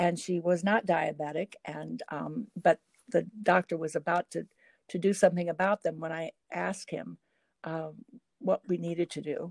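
A normal speaking voice at a moderate pace, with fairly even intonation and a dry, close sound with no echo. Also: woman. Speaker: former state legislator and Alzheimer's advocate. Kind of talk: interview conversation. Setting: remote call.

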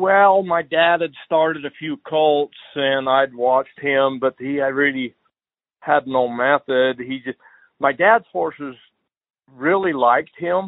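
Speaking with a western US accent, a man has a fairly high pitch. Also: ordinary pitch variation, fairly slow pace. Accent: rural western US. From Utah. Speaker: horse trainer. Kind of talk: casual interview.

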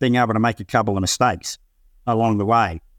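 In an Australian accent, a man speaks at a medium pitch and a fairly quick pace with ordinary pitch variation. The recording is very clean with a silent background, and the sound is dry and close with no echo. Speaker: company founder and CEO. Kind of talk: business interview.

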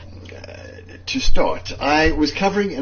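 Lively intonation marks this man's speech, with audible room echo around him. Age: 60s. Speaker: journalist. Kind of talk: personal testimony.

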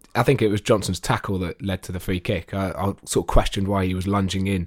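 A man with an ordinary speaking voice, fairly low in pitch, at a fairly quick pace, in a very clean recording with a silent background. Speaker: podcast co-host and football fan. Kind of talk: casual football chat.

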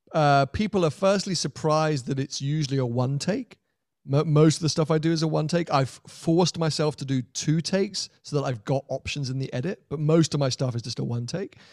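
Speaking at a fairly quick pace in a British accent, a man with a fairly high pitch and ordinary pitch variation sounds dry and close with no echo on a very clean recording with a silent background. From Britain. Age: 30s. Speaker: YouTuber. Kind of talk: casual chat. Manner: energetic.

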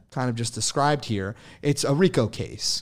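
A man in a normal speaking voice at medium pitch with ordinary pitch variation, in a very clean recording with a silent background. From New Jersey. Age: 20s. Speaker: e-commerce entrepreneur. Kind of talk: casual chat.

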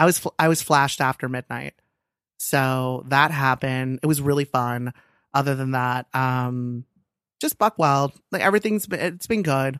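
Recorded very cleanly over a silent background with a dry, close sound and no echo, a man with an American accent speaks at a moderate pace in a medium pitch with ordinary pitch variation. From Los Angeles. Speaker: guest on advice podcast. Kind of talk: casual chat. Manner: animated.

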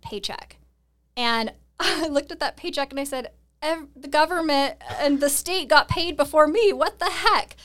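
With an American accent, a woman talks at a moderate pace and a high pitch, her loudness swinging widely. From US Pacific Northwest, Seattle. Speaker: real estate investor and coach. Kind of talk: interview conversation.

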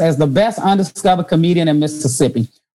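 Behind this woman, music is playing. Her pitch shifts in an ordinary way. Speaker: podcast host and comedian. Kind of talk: casual interview chat. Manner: animated, laughs often.

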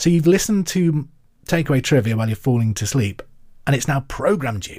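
The intonation is lively and somewhat breathy as a man speaks. The recording is very clean, with a silent background. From England, Hereford. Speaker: quiz podcast host, radio presenter. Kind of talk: casual chat with listener mail; quiz hosting.

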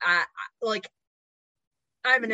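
This is an ordinary speaking voice from a woman. Her pitch rises and falls by an ordinary amount. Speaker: podcast host and licensed counselor. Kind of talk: casual interview chat.

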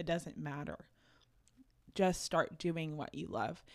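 This voice is in an American accent. It moves at a fairly slow pace. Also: woman. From Oklahoma, Tulsa. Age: 20s. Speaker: content creator. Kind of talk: casual chat. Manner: animated.

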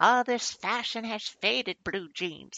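A put-on character voice, pitched fairly high and delivered at a moderate pace. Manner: cranky, reminiscing.

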